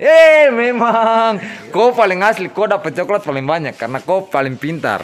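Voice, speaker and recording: A man speaks with a Papuan accent at a fairly slow pace. His pitch swings very widely. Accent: Papuan Indonesian. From Papua, Indonesia. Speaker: police officer. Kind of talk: casual talk with schoolchildren. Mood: warm, playful, praising. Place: street. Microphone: phone near.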